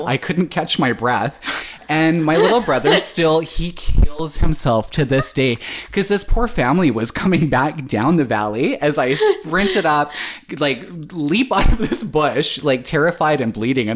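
Over noticeable background noise, a man with a Canadian accent speaks fairly slowly, his fairly high pitch carried by lively intonation. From Canada. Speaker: podcast host.

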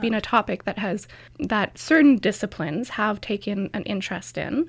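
A woman speaks at a moderate pace with a Canadian accent and a fairly high pitch, her intonation lively and touched by vocal fry. The recording is very clean with a silent background. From Canada, rural Alberta. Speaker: PhD student in history. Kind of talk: interview.

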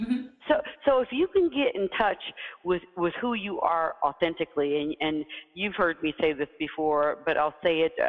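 A woman in an American accent talks at a moderate pace with very wide pitch swings, over noticeable background noise. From US South. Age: 50s. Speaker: CEO and leadership coach. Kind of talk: interview. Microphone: poor audio.

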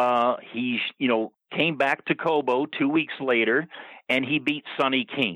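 A man with a normal speaking voice talks at a fairly slow pace in a medium pitch, with ordinary pitch variation and very even loudness. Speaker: wrestling insider. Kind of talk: casual chat. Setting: phone call.

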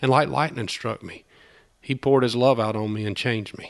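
With a Southern US accent, a man of medium pitch talks at a fairly quick pace against a quiet background. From US South, southern Georgia. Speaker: small-town revitalizer, business owner. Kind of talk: testimony interview. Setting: in person in Opelika.

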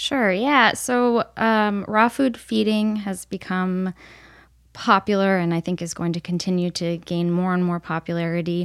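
A woman with an American accent has an unremarkable speaking voice, medium pitch and ordinary pitch variation, talking at a fairly slow pace in a dry, close recording with no echo. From upstate New York. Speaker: veterinary nutritionist. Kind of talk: casual interview.

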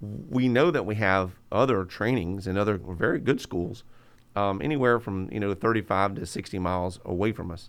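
In a very clean recording with a silent background, a man with a plain, everyday voice speaks at a moderate pace, fairly low in pitch with ordinary pitch variation. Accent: American. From rural southwest Florida (Hendry County). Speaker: school superintendent. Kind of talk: interview. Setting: in person.

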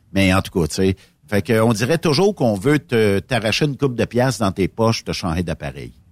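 A fairly low male voice with vocal fry, lively intonation and a moderate pace, recorded dry and close with no echo on a very clean track with a silent background. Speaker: trucking radio host. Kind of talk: casual chat.

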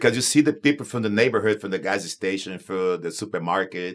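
A man in a Portuguese accent talks at a fairly quick pace, his fairly low pitch showing ordinary variation. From Brazil, Manaus. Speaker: pastor of Spanish-language church. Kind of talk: casual panel discussion.

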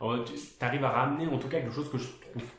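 A man at a fairly quick pace with ordinary pitch variation and audible room echo. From France. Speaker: podcast host, designer. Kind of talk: casual interview. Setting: guest's studio office.

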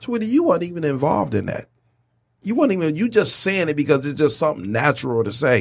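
With vocal fry and very wide pitch swings, a man talks in a fairly high pitch. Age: 40s. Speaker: podcast host. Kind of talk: casual chat.

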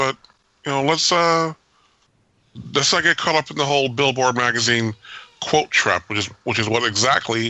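Speaking at a fairly quick pace, a man with a medium pitch uses ordinary pitch variation and takes long, frequent pauses. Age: 50s. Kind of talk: casual chat.

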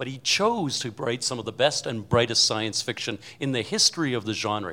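A man with a plain, everyday voice talks at medium pitch and a fairly quick pace. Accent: Canadian. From Canada. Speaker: panelist on a comedy word game. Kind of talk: timed speaking game, casual banter. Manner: fast, unbroken speech.

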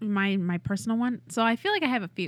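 A woman with an American accent has a normal speaking voice, using lively intonation at a fairly quick pace in a very clean recording with a silent background. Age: 30s. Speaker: improv performer. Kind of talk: casual chat.

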